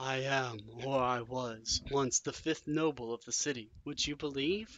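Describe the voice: A shaky, put-on character voice talks at a moderate pace. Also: man, medium pitch for a man.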